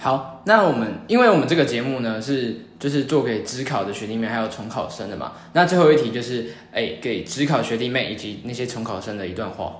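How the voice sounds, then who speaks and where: A man's voice comes through with audible room echo, and noticeable background noise runs underneath. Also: medium pitch for a man, ordinary pitch variation, fairly quick pace. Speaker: podcast host. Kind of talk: interview.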